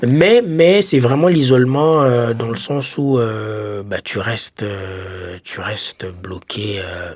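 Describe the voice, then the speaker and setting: At a very slow pace, a man speaks at medium pitch with lively intonation and big swings in loudness. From Congo. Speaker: podcast co-host, former foreign student. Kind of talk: casual chat.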